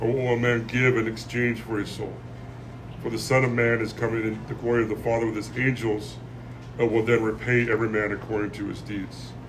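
A man's very fast, monotone, flat delivery at a medium pitch, against noticeable background noise. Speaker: podcast host. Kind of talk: casual chat. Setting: coffee shop.

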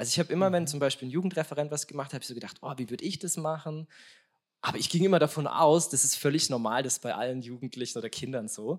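A man talks very fast in a fairly high pitch and an animated tone. His pitch variation is ordinary. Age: 30s. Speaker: stand-in podcast host, youth academy staff. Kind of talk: live podcast talk. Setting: live recording with audience.

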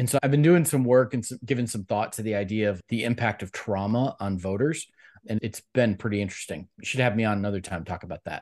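Speaking at a very fast pace with an American accent, a man uses a fairly low pitch and ordinary pitch variation. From US Midwest, Cleveland, Ohio. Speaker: political director, former congressional candidate. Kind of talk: interview.

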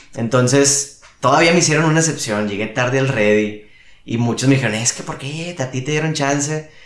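Noticeable background noise sits behind this recording. A man with a fairly high pitch speaks at a moderate pace with ordinary pitch variation. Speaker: youth ministry worker. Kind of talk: casual interview. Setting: at home.

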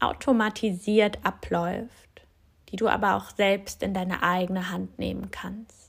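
Recorded very cleanly against a silent background, a woman at medium pitch speaks at a very slow pace. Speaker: yoga teacher and physiotherapist. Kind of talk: guided meditation. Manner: slow, soft, calm and soothing with long pauses; gentle, inviting, addressing listener as du.

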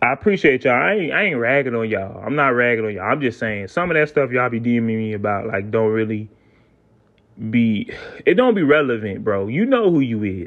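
Speaking fairly quickly, a man holds a medium pitch and ordinary pitch variation. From South Carolina, US South. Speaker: podcast host. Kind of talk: casual solo monologue.

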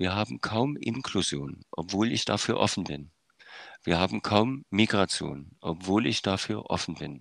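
A man's very deep, low voice with vocal fry, lively intonation and a fairly slow pace, dry and close with no echo on a very clean recording with a silent background. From eastern Germany, Saxony. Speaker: music educator and conductor. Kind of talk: interview. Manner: hesitant, many filler sounds.

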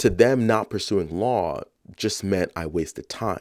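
In a very clean recording with a silent background, a man with a New York accent speaks at a very slow pace. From New York, South Bronx. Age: 30s. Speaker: podcast host. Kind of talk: reflective monologue.

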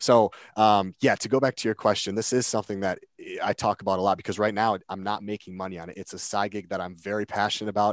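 In an American accent, the speaker talks at a very fast pace with monotone, flat intonation and big swings in loudness, in a dry, close sound with no echo against a quiet background. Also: man, fairly low pitch for a man. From Minnesota. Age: 20s. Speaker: CrossFit coach and podcast host. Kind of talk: casual interview.

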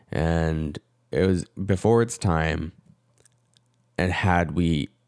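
In a Canadian accent, a man speaks with a very deep, low pitch and a dark, mellow tone. The recording is very clean, with a silent background. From Canada, Korean Canadian. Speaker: vlogger and freelance videographer. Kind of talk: personal vlog monologue. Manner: reflective, hesitant with fillers.

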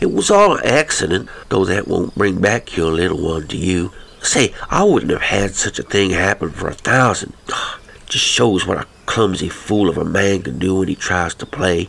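A man puts on a character voice with a Western US accent, speaking low with vocal fry, a fairly bright tone and lively intonation. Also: moderate pace. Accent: American, rustic frontier drawl.

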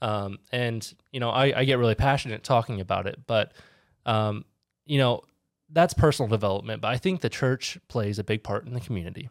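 A man with an unremarkable speaking voice talks at a fairly quick pace, medium in pitch with ordinary pitch variation. The sound is dry and close with no echo, a very clean recording over a silent background. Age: 20s. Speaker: podcast host. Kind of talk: casual chat.

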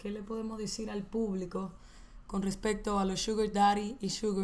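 Amid noticeable background noise and audible room echo, a woman of medium pitch speaks in an animated tone. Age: 20s. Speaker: podcast co-host. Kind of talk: casual chat.

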